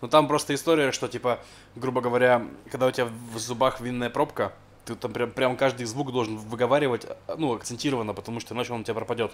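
Mumbling at a very fast pace, a man uses a put-on character voice at a medium pitch with monotone, flat intonation. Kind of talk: casual, informal explanation. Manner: mumbled, slurred speech with swallowed sounds.

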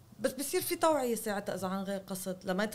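A woman is speaking. Her pace is fairly quick. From Lebanon. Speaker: journalist and novelist; journalist guest. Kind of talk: interview. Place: home room. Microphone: studio mic.

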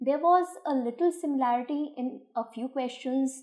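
A woman's dark, mellow tone against a quiet background. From India. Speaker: school English teacher. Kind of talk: exam paper analysis. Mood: calm, explanatory. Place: office.

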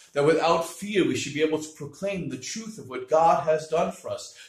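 There's audible room echo as a man speaks over a quiet background. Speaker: priest. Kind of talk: homily, preaching on the gospel, with a reading of scripture. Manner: teaching, earnest and explanatory, with a lively moment of mimicry. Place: home room. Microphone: webcam.

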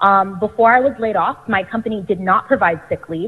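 A woman at a fairly quick pace with ordinary pitch variation, against a quiet background. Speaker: member of the public commenting. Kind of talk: public comment statement. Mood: urgent, earnest appeal. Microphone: phone line.

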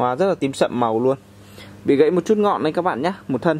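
A man talking at a very fast pace with lively intonation over light background noise. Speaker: orchid seller. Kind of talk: sales pitch. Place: open country. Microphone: phone near.

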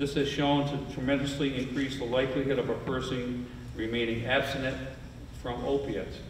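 Over noticeable background noise and audible room echo, a man with an American accent talks at a fairly quick pace in a medium pitch with flat, monotone intonation. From Saratoga County, upstate New York. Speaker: county sheriff. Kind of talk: prepared speech.

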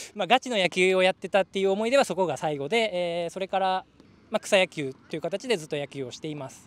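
In a very clean recording with a silent background and a dry, close sound with no echo, a high-pitched man races at a very fast pace with lively intonation and big swings in loudness. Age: 30s. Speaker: manga artist, tryout applicant. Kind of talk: group interview.

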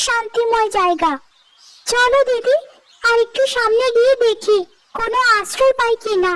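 Speaking at a fairly slow pace, a woman puts on a cartoonish character voice with extremely high pitch. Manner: earnest, encouraging.

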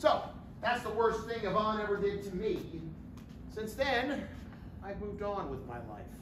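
Someone speaks at a moderate pace amid noticeable background noise and audible room echo. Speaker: stage actor. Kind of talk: theatrical monologue. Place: stage. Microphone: camera far.

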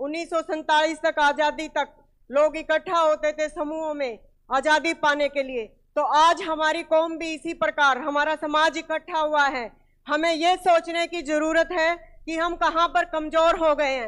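Speech comes at a fairly slow pace with monotone, flat intonation in a quiet background. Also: woman, extremely high pitch for a woman. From India, Haryana (Hisar district); Haryana, India. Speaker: speaker. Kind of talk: public speech. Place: hall. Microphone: handheld.

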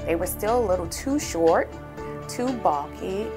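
A woman at a moderate pace over clear music in the background. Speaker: dental patient. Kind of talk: patient testimonial. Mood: calm, pleased. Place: studio.

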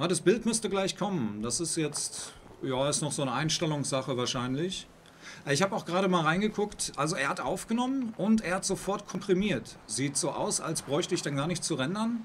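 Lively intonation marks this man's speech. He talks at a high pitch. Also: moderate pace. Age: 40s. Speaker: gaming streamer. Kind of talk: live stream commentary. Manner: halting.

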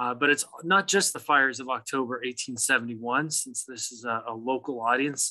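A man's bright, sharp tone at a fairly slow pace over a quiet background. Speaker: presenter. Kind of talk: lecture. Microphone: video call.

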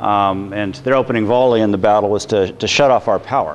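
With an unremarkable speaking voice, a man talks at a fairly quick pace in a fairly low pitch and fairly even intonation, light background noise present. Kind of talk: lecture. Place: workshop.

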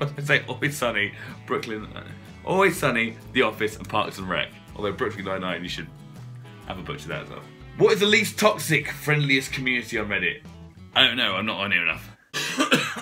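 Over music in the background, a man with a British accent speaks at a moderate pace, with very wide pitch swings and big swings in loudness. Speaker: presenter, voice over artist. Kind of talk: casual talk to camera.

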